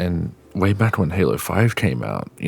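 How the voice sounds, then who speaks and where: With an Australian accent, a man speaks in a very deep, low voice with very wide pitch swings over noticeable background noise. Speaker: gaming youtuber. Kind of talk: opinion rant. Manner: halting, repeats words.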